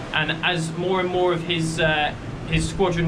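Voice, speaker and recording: A man's fairly high-pitched voice with monotone, flat intonation at a moderate pace, amid audible room echo and noticeable background noise. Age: 20s. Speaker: walking vlogger. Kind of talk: casual vlog narration. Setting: outdoors. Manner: loud.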